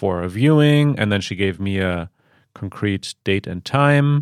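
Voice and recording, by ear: The tone is clear and smooth, in a very clean recording with a silent background. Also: man.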